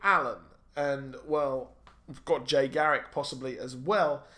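Speaking with a British accent at a fairly slow pace, this man has a fairly high pitch and ordinary pitch variation against a quiet background. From UK. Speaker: YouTube comic and film commentator. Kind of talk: solo video commentary and review. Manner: animated. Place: home room. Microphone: studio mic.

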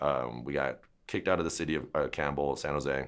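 Against a quiet background, a man talks fairly quickly in a very deep, low pitch with fairly even intonation and vocal fry. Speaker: dog trainer. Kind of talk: interview answer. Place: shop.

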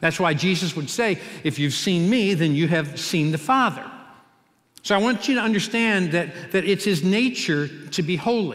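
A man with an American accent speaks at a moderate pace in a high pitch. His intonation is lively, his loudness very even, and the background quiet. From US Midwest, Cincinnati; Ohio. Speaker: pastor. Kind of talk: sermon. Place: church. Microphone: headset.

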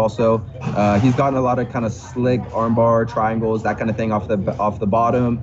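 A man speaks at a moderate pace while noticeable background noise plays. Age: 20s. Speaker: MMA fighter; podcast guest. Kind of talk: interview. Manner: excitable. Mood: calm, confident. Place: home room. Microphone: video call.

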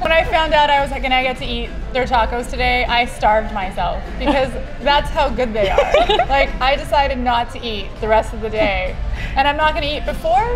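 Over clear background music, a woman speaks at a fairly quick pace with ordinary pitch variation. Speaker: guest. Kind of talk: enthusiastic casual chat. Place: bar. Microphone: lapel.

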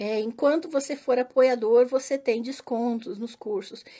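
Against a quiet background, a woman talks at a high pitch with ordinary pitch variation. Her tone is dark and mellow. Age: 40s. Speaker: religious studies teacher; teacher promoting her online courses. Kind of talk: casual monologue to followers; casual vlog chat. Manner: hesitant, many fillers. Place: home room. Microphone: phone near.

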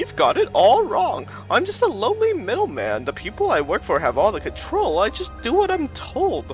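At a moderate pace, the words come through with clear music in the background. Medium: game stream. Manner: evasive, wheedling.

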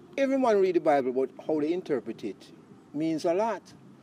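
With very wide pitch swings and a dark, mellow tone, a man speaks at a moderate pace in a dry sound with no echo over light background noise. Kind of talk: interview answer. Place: garden.

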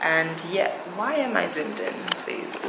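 A woman talks at a moderate pace, and noticeable background noise comes through. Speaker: vlogger. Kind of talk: casual vlog chat. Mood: cheerful, laughing. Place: home room. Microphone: phone near.

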